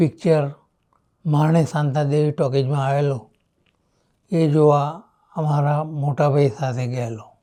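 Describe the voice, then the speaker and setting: This man has a fairly high pitch and a dark, mellow tone, and his intonation stays fairly even. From Charotar, Gujarat, India. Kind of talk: interview answer.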